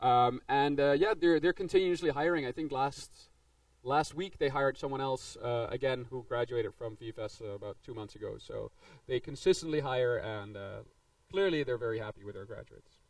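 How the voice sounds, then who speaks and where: A man with a Dutch accent talks at a fairly quick pace in a fairly high pitch. His intonation is lively, and his loudness swings widely. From Netherlands. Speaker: game design instructor. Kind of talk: presentation to students. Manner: casual, filler-heavy.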